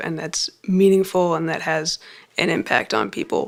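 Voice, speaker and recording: With a plain, everyday voice, a woman talks at a moderate pace, her fairly low pitch carried by fairly even intonation. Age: 20s. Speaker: student. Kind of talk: testimony.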